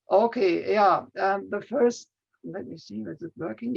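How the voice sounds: A man's high-pitched voice with vocal fry, at a moderate pace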